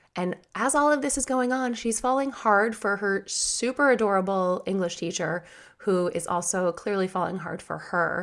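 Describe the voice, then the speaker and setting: In a very clean recording with a silent background, a woman with a medium pitch speaks at a moderate pace with ordinary pitch variation. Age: 30s. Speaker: writer and podcast host. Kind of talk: casual chat.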